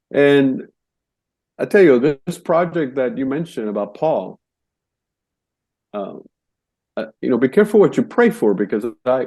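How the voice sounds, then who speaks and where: Using a dark, mellow tone, a fairly high-pitched man speaks at a moderate pace with very wide pitch swings and long, frequent pauses. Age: 60s. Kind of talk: testimony. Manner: halting, many repetitions and fillers.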